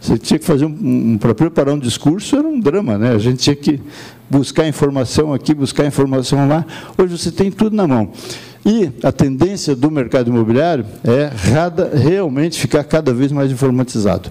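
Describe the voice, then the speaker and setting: A fairly high-pitched man's voice, fairly quick and with lively intonation, at very even loudness over noticeable background noise. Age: 70s. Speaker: professional council leader. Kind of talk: conference speech.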